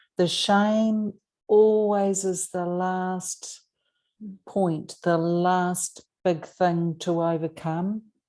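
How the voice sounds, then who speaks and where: Against a quiet background, a woman speaks in a dark, mellow tone with monotone, flat intonation. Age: 60s. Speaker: podcast host. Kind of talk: interview conversation.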